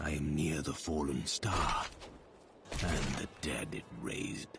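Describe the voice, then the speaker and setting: A man's put-on character voice, very deep and low, at a fairly slow pace over loud background noise. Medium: video game. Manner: grave, measured.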